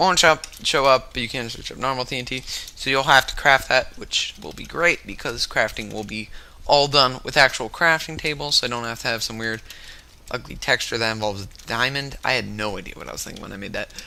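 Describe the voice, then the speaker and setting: A man speaks with big swings in loudness over noticeable background noise. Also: medium pitch for a man, ordinary pitch variation, fairly quick pace. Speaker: gaming YouTuber. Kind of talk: gameplay commentary. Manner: fast; halting.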